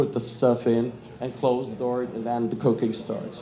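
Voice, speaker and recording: A man talks at a moderate pace with a medium pitch. Audible room echo surrounds his voice. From Germany. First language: German. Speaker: kitchen equipment industry representative. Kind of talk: panel talk.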